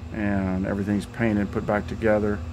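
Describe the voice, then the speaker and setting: Man at a moderate pace with a fairly low pitch, over noticeable background noise. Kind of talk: casual project update vlog. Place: garage. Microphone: phone near.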